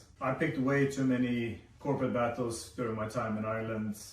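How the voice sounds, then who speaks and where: A man with a Swedish accent is heard over noticeable background noise and audible room echo. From Sweden. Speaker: vlogger. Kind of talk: personal video essay.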